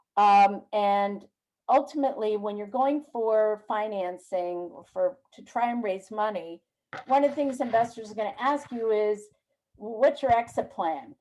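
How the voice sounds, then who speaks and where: A woman with a fairly high pitch speaks at a fairly slow pace in a dark, mellow tone. Her loudness swings widely. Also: ordinary pitch variation. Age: 60s. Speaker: business mentor. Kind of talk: webinar Q&A.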